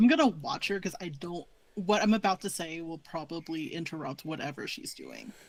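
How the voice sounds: A woman speaks at a moderate pace in a fairly low voice with big pitch swings.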